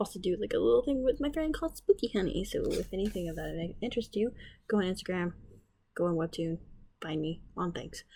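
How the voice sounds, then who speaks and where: Talking at a very fast pace, a woman with a medium pitch and vocal fry lets her pitch swing very widely. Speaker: art teacher and artist. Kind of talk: drawing tutorial. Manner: quiet; casual, lots of fillers.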